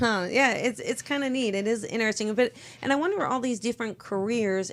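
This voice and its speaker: Pitch moves in an ordinary way throughout. The audio is very clean, and nothing is heard in the background. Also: woman. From US East Coast. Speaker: psychic and live stream host. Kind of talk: interview on live stream. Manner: loud.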